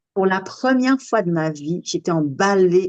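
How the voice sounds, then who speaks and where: A woman's medium-pitched voice with ordinary pitch variation, at a fairly slow pace, in a dry, close sound with no echo. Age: 60s. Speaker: sophrologist. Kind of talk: casual chat. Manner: animated.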